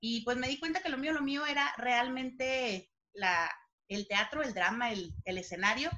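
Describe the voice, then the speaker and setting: A woman speaks at a fairly slow pace in a raised, projected voice, high-pitched, with a bright, sharp tone and lively intonation. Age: 30s. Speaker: actress and playwright. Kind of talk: casual chat.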